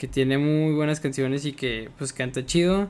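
A man talks in a Mexican accent. His intonation stays fairly even. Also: very clean recording, silent background. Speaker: podcast host. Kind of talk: casual chat.

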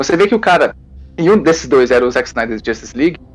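Music runs in the background as a man talks, his pitch rising and falling in an ordinary way. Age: 20s. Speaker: fan site columnist. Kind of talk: casual chat.

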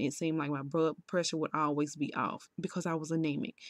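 A woman with a very deep, low pitch speaks at a fairly quick pace with fairly even intonation, on a very clean recording with a silent background and a dry, close sound with no echo. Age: 30s. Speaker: solo podcaster. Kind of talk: personal testimony. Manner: casual, conversational.

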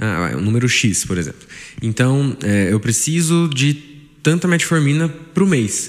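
The man's medium-pitched voice moves through very wide pitch swings. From Brazil, Taubaté, São Paulo state. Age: 20s. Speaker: family doctor. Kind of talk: interview.

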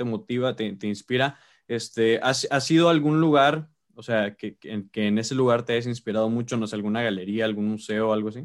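A man with a Mexican accent speaks at a fairly quick pace. His pitch is medium and his intonation fairly even. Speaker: podcast host. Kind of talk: casual interview.

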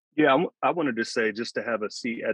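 In a normal speaking voice, a man talks at a medium pitch with fairly even intonation. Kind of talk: casual group interview chat.

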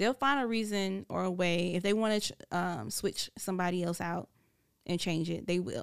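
A woman's normal speaking voice in an American accent, medium in pitch with ordinary pitch variation, at a moderate pace, on a very clean recording with a silent background. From US South. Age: 30s. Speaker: radio personality. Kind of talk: casual chat. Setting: studio.

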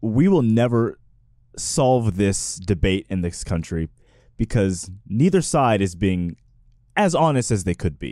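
A man with an American accent speaks at a very slow pace, his fairly low voice dark and mellow in tone. His intonation is lively, and the recording is very clean with a silent background. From Texas. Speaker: podcast panelist. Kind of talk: casual debate. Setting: studio.

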